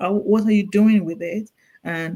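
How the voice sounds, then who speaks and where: The speaker talks at a fairly quick pace with a Nigerian accent. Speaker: clinical nurse specialist. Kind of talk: interview. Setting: call. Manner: halting, with repeated words.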